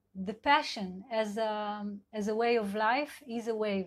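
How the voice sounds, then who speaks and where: A woman with an Israeli accent speaks at a fairly high pitch in a somewhat breathy voice. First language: Hebrew. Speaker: sex and couple therapist. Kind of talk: live talk. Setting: online live video session. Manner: halting, many fillers.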